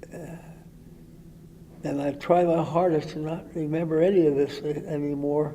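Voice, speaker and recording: A man with a fairly high voice speaks at a moderate pace, leaving long, frequent pauses. His intonation is monotone and flat, while his loudness swings widely. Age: 80s+. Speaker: war veteran. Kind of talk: interview answer. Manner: halting, hesitant.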